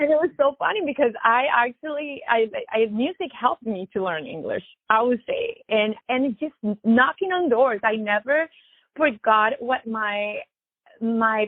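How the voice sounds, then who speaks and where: A woman's high-pitched voice with a Spanish accent, lively intonation and a fairly slow pace. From Latin America, immigrated to US. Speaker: musician, DJ and violinist. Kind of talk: interview.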